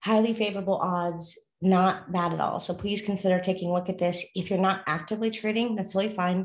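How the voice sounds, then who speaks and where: A woman speaks in a flat monotone at a medium pitch, talking very fast with hardly any pauses. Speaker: forex trading video host. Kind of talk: casual instructional. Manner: fast talker.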